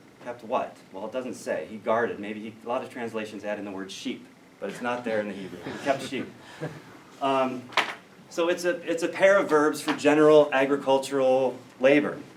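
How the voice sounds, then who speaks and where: A man with an American accent speaks at a moderate pace and medium pitch, with lively intonation and big swings in loudness. Noticeable background noise and audible room echo come through. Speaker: biblical studies scholar. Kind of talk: lecture. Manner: hesitant fillers.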